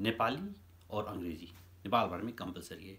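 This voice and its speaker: The man's fairly low voice comes out somewhat breathy. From Nepal. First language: Nepali (speaking Hindi). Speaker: YouTuber commentator. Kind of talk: opinion monologue. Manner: halting.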